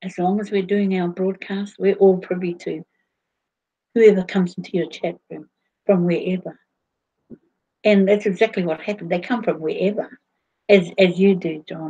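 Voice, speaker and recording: A woman of medium pitch talks at a moderate pace in a dark, mellow, somewhat breathy tone with flat, monotone intonation. Her loudness swings widely, and long pauses come often. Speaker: livestream host. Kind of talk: casual livestream chat. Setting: online video broadcast. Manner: halting, many fillers.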